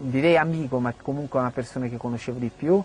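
Medium-pitched male voice with fairly even intonation. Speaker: footballer. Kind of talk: interview testimony. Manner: halting.

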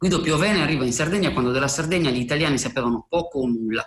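A man's voice with ordinary pitch variation. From Sardinia, near Cagliari. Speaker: writer. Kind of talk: recorded commentary.

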